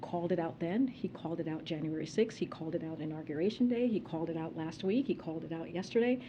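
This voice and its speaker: A woman's fairly low voice with an American accent, very fast and with hardly any pauses. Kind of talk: press briefing, formal spoken remarks.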